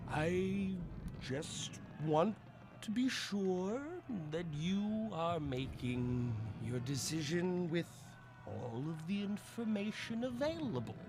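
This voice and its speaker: A man's put-on character voice, high in pitch, at a very slow pace with long, frequent pauses over loud background noise. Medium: actual play. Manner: measured, earnest.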